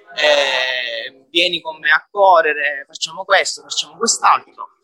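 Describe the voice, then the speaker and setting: The sound is dry and close, with no echo. A man delivers his words at a fairly slow pace. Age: 20s. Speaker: gym member who lost weight. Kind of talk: interview.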